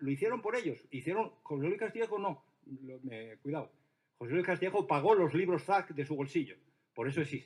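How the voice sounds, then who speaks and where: Here a man speaks at a high pitch and a fairly quick pace. His tone is animated and his intonation lively. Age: 60s. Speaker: art historian and experimental poet. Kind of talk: panel discussion. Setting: stage with audience.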